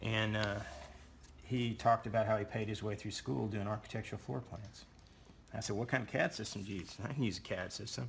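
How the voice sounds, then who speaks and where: With vocal fry in his fairly low-pitched voice, a man talks at a fairly quick pace. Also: ordinary pitch variation. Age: 60s. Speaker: drafting instructor. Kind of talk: tutorial. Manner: casual, conversational.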